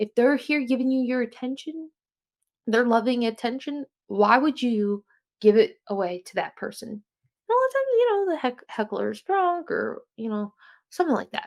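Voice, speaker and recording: With an American accent, a woman speaks at a moderate pace in a high pitch, her voice making very wide pitch swings and big swings in loudness, in a dry, close sound with no echo. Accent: New Jersey accent, getting thicker. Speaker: podcast host. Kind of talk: casual solo podcast talk. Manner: casual, halting with self-corrections.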